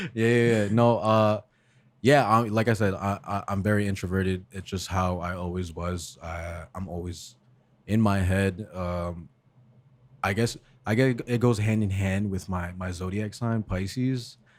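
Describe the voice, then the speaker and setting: Fairly low in pitch, a man talks with a New Jersey accent and fairly even intonation. The recording is very clean, with a silent background. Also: fairly slow pace. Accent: New Jersey American. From US Northeast, northern New Jersey, Essex County. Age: 20s. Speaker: podcast guest, videographer. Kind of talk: casual chat. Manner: relaxed, conversational with fillers.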